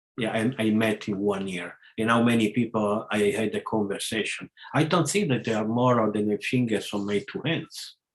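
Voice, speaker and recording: The speaker has an Italian accent, a moderate pace and ordinary pitch variation. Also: man, medium pitch for a man. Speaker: spiritual lecturer. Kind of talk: casual chat. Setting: video call. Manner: halting.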